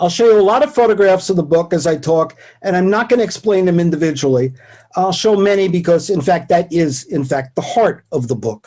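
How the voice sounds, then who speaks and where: A man with a New York accent, high in pitch, dark and mellow in tone, with lively intonation and a fairly quick pace. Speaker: professor emeritus. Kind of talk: lecture. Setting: video call.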